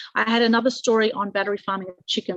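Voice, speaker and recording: Speaking very fast with an Australian accent, a woman keeps her intonation fairly even in a dry, close sound with no echo. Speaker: publicity consultant. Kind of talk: webinar presentation.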